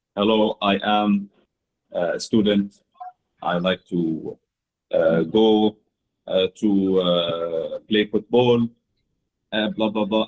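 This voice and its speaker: A man does a put-on, robotic character voice at a fairly low pitch. He talks at a very slow pace with long, frequent pauses. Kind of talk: stilted, filled with uh's. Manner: robotic, choppy, halting.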